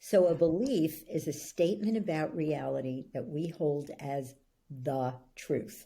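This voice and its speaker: Her voice is very deep and low in pitch, and this woman's tone is dark and mellow. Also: ordinary pitch variation, fairly slow pace. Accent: New York. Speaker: belief-change coach. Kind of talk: interview.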